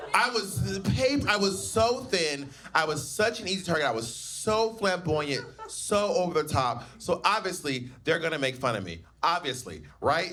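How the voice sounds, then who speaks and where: Over noticeable background noise, a man with an American accent talks at a moderate pace, his high pitch swinging very widely. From US South. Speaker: drag queen and stand-up comedian. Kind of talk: personal storytelling bit. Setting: live venue with audience.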